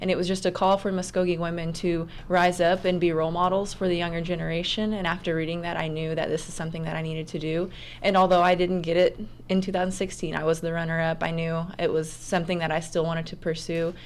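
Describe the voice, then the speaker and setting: A woman with an American accent talks very fast in a fairly low pitch with monotone, flat intonation. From Oklahoma. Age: 20s. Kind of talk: radio interview.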